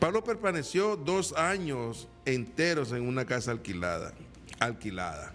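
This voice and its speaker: With music in the background and audible room echo, a man speaks with very wide pitch swings. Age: 60s. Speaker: evangelical preacher. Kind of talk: sermon. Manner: halting, repeats words.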